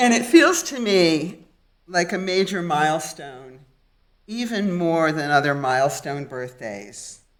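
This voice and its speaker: Fairly slow, lively speech from a woman with a fairly low pitch, with audible room echo. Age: 70s. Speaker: lay congregant giving sermon. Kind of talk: sermon. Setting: synagogue.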